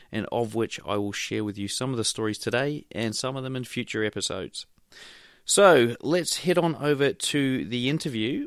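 A man with an ordinary speaking voice, ordinary pitch variation and a moderate pace, on a very clean recording with a silent background. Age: 30s. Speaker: podcast host and hobby trader. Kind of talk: solo podcast monologue.

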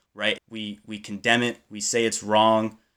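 In a very clean recording with a silent background, a man with a fairly low pitch speaks at a moderate pace in an ordinary speaking voice. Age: young. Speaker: university student. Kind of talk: casual chat.

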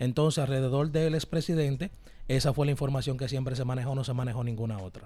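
A man speaks at a very fast pace in a medium pitch with ordinary pitch variation. His tone is dark and mellow and somewhat breathy. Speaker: radio host. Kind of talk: casual chat.

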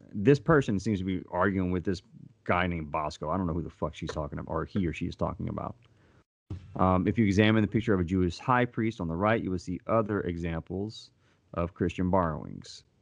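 A man with a very deep, low pitch and an American accent talks very fast over a quiet background. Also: ordinary pitch variation. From US South. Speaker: podcast co-host. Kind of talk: casual chat.

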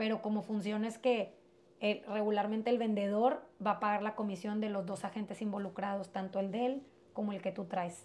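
At a medium pitch, a woman speaks in a flat monotone at a moderate pace. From Mexico-US border, Piedras Negras area. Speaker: real estate agent. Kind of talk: interview.

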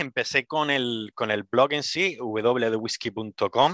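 A man of medium pitch with a bright, sharp tone, dry, close sound with no echo, and a very clean recording with a silent background. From Las Palmas de Gran Canaria, Canary Islands. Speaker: whisky industry worker and blogger. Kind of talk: interview.

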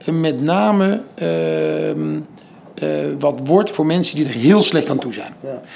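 A man's voice with very wide pitch swings. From Netherlands, Den Bosch. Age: 40s. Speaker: entrepreneur and foundation founder. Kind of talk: interview. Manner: halting.

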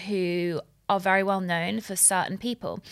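A woman's voice at a medium pitch. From Middle East. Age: 30s. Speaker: dentist. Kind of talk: casual chat.

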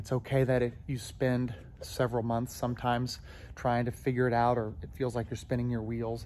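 Speech comes at a fairly quick pace with fairly even intonation. Room echo is audible. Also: man, medium pitch for a man. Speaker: gymnastics coach. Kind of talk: casual monologue. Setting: gym, walking around. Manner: rambling, filler-heavy.

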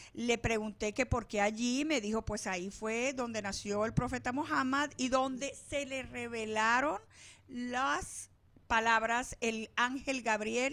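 On a very clean recording with a silent background, a woman speaks at a very slow pace. Her fairly high voice has a bright, sharp tone and ordinary pitch variation. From Venezuela. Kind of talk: casual interview. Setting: studio.

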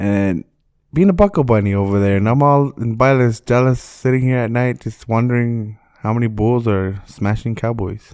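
In a very clean recording with a silent background, a man has an ordinary speaking voice, a medium pitch, ordinary pitch variation and a moderate pace. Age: 20s. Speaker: podcast co-host. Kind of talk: casual chat.

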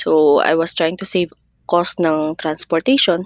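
The sound is dry and close with no echo as a woman speaks at a fairly slow pace and a fairly low pitch. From Mindanao, Philippines (Cotabato City). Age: 20s. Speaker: podcaster, teacher. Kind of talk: casual personal monologue.

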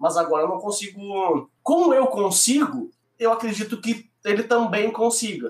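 This man talks in a high pitch with lively intonation. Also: moderate pace. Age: 40s. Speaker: IT professional. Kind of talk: casual chat.

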